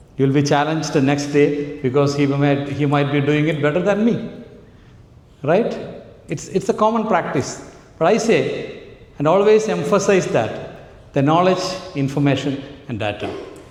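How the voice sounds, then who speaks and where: Amid noticeable background noise and audible room echo, a man with a Keralan accent and a fairly high pitch speaks at a moderate pace, with lively intonation and long, frequent pauses. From Kerala, India. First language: Malayalam. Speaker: AI trainer, entrepreneur. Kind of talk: workshop talk. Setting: conference hall with audience. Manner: animated.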